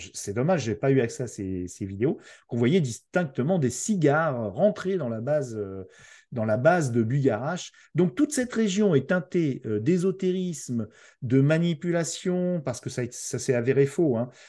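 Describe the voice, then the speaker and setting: Over a quiet background, a man with a dark, mellow tone speaks at a fairly high pitch with very wide pitch swings. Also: moderate pace. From France. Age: 50s. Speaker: podcaster. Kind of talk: casual chat. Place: home room. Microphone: video call.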